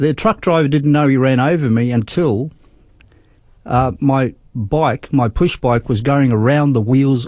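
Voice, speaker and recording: Speaking with an Australian accent, a man keeps a medium pitch, ordinary pitch variation and a moderate pace. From Australia, Darwin. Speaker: nurse and lay church leader. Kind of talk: testimony.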